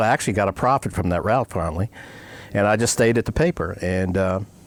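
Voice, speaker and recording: A man with an American accent speaks with ordinary pitch variation, the sound dry and close with no echo. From Maryland, US. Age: 70s. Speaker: retired newspaper publisher. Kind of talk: interview.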